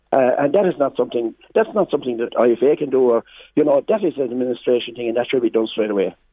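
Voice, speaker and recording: A man in a rural Irish accent at a very fast pace, medium pitch and lively intonation. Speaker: farmers' representative. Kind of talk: radio interview. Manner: halting, repetitive.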